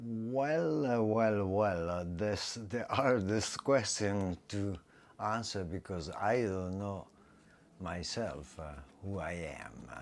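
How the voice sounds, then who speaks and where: A man with an Italian accent, fairly low in pitch, at a very slow pace. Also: ordinary pitch variation. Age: 70s. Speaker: retired English teacher and artist. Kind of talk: interview. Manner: halting, many fillers.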